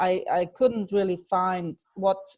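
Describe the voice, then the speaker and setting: Her tone is dark and mellow. This woman speaks at a medium pitch with ordinary pitch variation. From Germany. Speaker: life coach. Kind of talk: webinar presentation.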